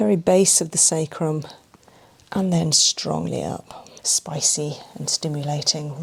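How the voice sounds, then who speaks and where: Soft-spoken and somewhat breathy, a woman talks in a very deep, low pitch with ordinary pitch variation. Her pace is fairly slow. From England. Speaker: massage therapist. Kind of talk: massage narration.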